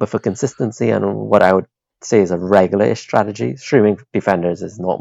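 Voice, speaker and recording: A man talks at a fairly quick pace with vocal fry. His pitch is fairly low, with ordinary variation. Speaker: fantasy football podcast co-host. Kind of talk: casual chat.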